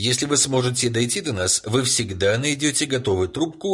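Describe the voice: The reading aloud is plain, and the intonation is lively.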